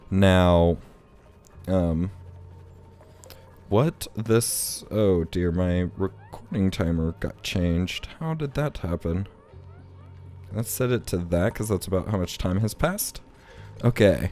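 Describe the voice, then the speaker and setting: Music plays in the background while the voice moves at a very slow pace. Long, frequent pauses break up speech with ordinary pitch variation. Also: man, very deep, low pitch for a man. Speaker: gaming video creator. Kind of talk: let's play commentary. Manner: casual, rambling.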